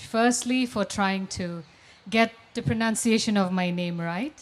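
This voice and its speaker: The speaker uses a Nagaland accent, with ordinary pitch variation at a fairly slow pace. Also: woman. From Nagaland, northeast India. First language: Lotha Naga. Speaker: English professor and author. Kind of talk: panel discussion.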